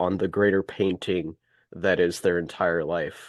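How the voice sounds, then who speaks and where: In an American accent, a man with a very deep, low pitch talks in a monotone, flat way, the sound dry and close with no echo. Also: quiet background. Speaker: call participant. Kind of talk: casual chat.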